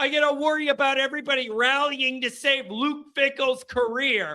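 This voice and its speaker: Shouting in a raised, projected voice at an extremely high pitch, a man keeps a fairly even intonation and a moderate pace. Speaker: sports show host. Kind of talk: live call-in show. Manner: loud, yelling.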